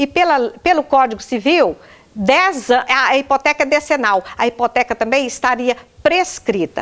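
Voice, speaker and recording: A woman talks at a high pitch and a moderate pace with lively intonation and very even loudness. The sound is dry and close with no echo. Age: 60s. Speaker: widow making a public complaint. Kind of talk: testimony.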